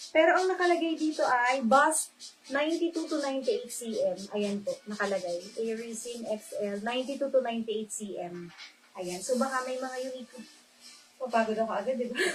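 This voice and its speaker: A soft-spoken woman's high voice at a moderate pace. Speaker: online live seller. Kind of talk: live selling stream. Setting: livestream.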